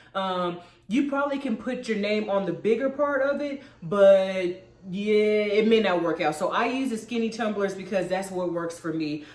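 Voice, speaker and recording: Amid noticeable background noise and audible room echo, a woman at a medium pitch speaks in an animated tone with lively intonation. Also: moderate pace. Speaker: crafting YouTuber. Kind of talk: tutorial. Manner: casual, animated.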